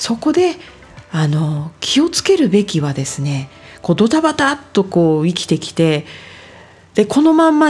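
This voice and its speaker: This woman's pitch swings very widely as she talks at a moderate speed. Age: 40s. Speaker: podcast host, life design coach. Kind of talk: solo talk / self-help monologue. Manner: polite, filler-heavy conversational.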